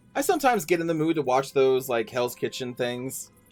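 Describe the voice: Faint music sits in the background. A man talks at a moderate pace and a medium pitch.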